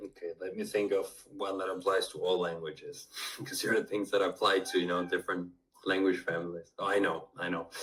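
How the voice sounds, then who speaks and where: Speaking fairly quickly, the man has a Spanish accent. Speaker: polyglot language tutor. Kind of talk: interview conversation.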